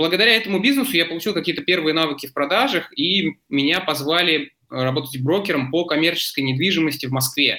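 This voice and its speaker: Hardly pausing, a man races along at a very fast pace with a fairly high pitch, lively intonation, and very even loudness. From Moscow region, Zelenograd. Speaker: entrepreneur. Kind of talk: interview. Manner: hesitant, many fillers.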